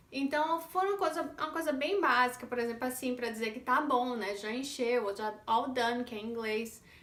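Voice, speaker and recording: High-pitched woman's voice in a northeastern Brazilian accent, with ordinary pitch variation and audible room echo. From Northeast Brazil. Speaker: vlogger mother. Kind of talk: casual vlog monologue.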